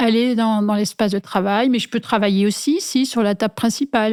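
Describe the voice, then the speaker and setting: A woman at a fairly high pitch, moderate pace and fairly even intonation, on a very clean recording with a silent background. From rural France, small village. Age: 60s. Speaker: industrial designer. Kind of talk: interview. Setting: at home. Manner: hesitant, many fillers.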